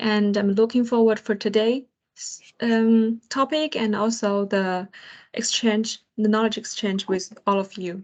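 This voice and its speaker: Against a quiet background, a woman with a fairly high pitch speaks with fairly even intonation. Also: fairly slow pace. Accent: Chinese. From China. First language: Chinese. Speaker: project engineer and co-host. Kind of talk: online roundtable talk. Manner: halting, many fillers.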